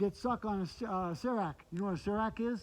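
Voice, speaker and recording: With an American accent, a man speaks in a high voice at a fairly quick pace, using ordinary pitch variation. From Michigan. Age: 60s. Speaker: hiker and vlogger. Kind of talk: casual chat. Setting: outdoors. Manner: animated.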